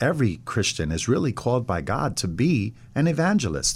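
This man has an American accent and vocal fry. He speaks at a fairly quick pace. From Westchester, New York (Ossining). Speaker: pastor. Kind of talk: radio interview.

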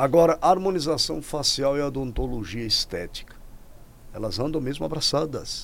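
Fairly high-pitched with vocal fry, a man speaks at a moderate pace with lively intonation. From Rio Grande do Norte, Brazil. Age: 50s. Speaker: podcast host. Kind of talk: casual interview. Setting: studio. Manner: animated.

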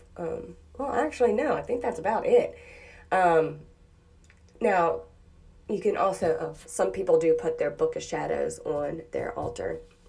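A woman speaks fairly slowly with long, frequent pauses, with audible room echo around her. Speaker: podcast host on witchcraft practice. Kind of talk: casual solo talk. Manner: hesitant with many fillers.

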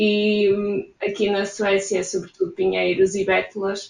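Here a woman speaks with a European Portuguese accent. Her pace is fairly slow. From Portugal. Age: 20s. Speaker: emigrant interviewee. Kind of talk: interview.

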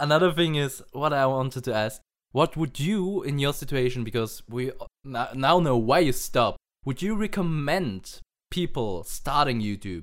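A man speaks in an unremarkable speaking voice. His fairly high pitch moves with lively intonation. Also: moderate pace, very clean recording, silent background. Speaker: podcast host. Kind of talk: casual chat.

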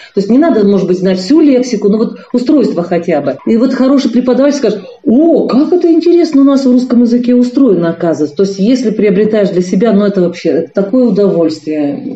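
Noticeable background noise surrounds a woman speaking at a very fast pace and a fairly high pitch. Her pitch swings very widely while her loudness stays very even. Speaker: linguist, university teacher. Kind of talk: expert interview. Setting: remote call from China.

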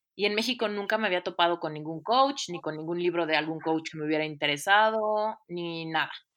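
A woman's animated, fairly low-pitched voice at a fairly quick pace with hardly any pauses, ordinary pitch variation and a quiet background. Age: 30s. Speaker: life coach. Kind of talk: interview.

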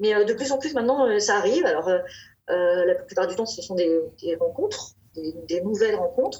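A woman talks in an ordinary speaking voice, moving fairly quickly with lively intonation. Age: 40s. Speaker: novelist. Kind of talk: interview.

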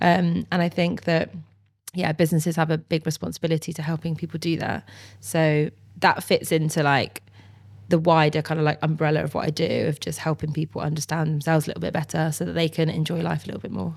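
On a very clean recording with a silent background, a woman with a very deep, low voice and vocal fry talks very fast with fairly even intonation. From Bristol, England. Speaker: psychologist and presenter. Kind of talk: casual interview chat.

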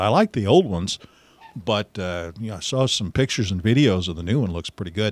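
Recorded dry and close with no echo, a man speaks in a fairly low pitch with ordinary pitch variation. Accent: Midwestern American. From Missouri, US Midwest. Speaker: radio host and podcaster. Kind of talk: casual solo monologue. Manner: conversational with fillers.

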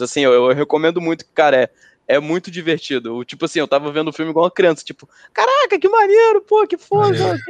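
Recorded dry and close with no echo over a quiet background, a man speaks at a high pitch with ordinary pitch variation. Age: 30s. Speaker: podcast co-host. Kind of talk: casual chat.

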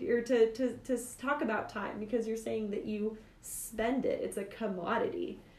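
A woman at a fairly high pitch and moderate pace with ordinary pitch variation, over noticeable background noise. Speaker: podcast host. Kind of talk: casual podcast discussion.

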